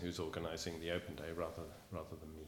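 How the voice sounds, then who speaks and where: Audible room echo surrounds the recording. A man speaks at a fairly quick pace. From England, Bristol. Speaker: teacher. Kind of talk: interview.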